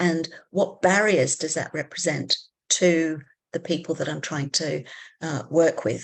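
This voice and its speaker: With an English accent, a woman speaks at a fairly slow pace in a fairly low pitch, with ordinary pitch variation over a quiet background. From England. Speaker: psychology academic. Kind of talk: panel discussion facilitation.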